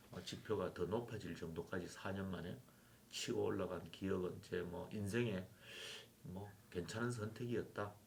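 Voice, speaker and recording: A man speaks at a moderate pace with a fairly low pitch and fairly even intonation. His voice is somewhat breathy, and room echo is audible. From South Korea, Yeongju (North Gyeongsang). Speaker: former university president. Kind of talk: interview.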